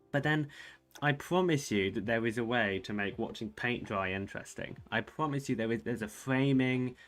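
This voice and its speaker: In a British accent, a man talks at a moderate pace. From Britain. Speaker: chess streamer. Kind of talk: casual live-stream chat. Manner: casual, conversational.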